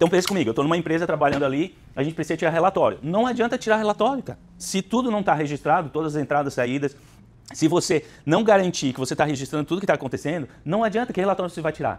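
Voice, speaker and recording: Very fast and high-pitched, a man speaks with lively intonation. The recording is very clean, with a silent background. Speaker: business consultant, speaker. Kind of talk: lecture.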